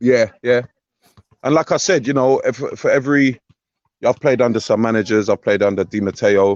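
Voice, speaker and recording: A man speaks with a London accent at a moderate pace, his pitch medium with ordinary variation. His loudness stays very even, broken by long, frequent pauses. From North London (Tottenham). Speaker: former footballer, now coach. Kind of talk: interview.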